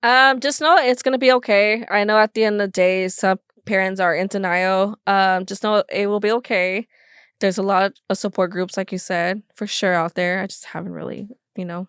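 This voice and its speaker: A woman at a medium pitch and moderate pace, with ordinary pitch variation and a dry, close sound with no echo on a very clean recording over a silent background. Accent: American. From Los Angeles area, California. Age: 20s. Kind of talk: podcast interview. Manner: halting.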